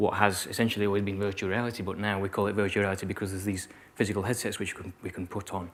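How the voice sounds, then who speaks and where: Speaking with a Yorkshire accent, a man delivers his words at a fairly low pitch in a monotone, flat intonation. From Yorkshire, northern England. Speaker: keynote speaker, virtual reality designer. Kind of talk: keynote talk to students. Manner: sometimes mumbles; hesitant, many fillers and repetitions.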